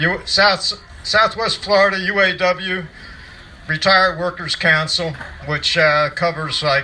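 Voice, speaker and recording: At a moderate pace, a man speaks with ordinary pitch variation against noticeable background noise. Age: old. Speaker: retired union official. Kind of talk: rally speech. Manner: halting.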